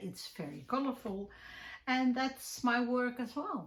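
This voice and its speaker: A woman speaks with a Dutch accent at a fairly high pitch. Her pace is fairly slow. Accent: Dutch, clearly recognizable. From Netherlands. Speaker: crafting YouTuber and podcaster. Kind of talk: casual chat. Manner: hesitant, many fillers.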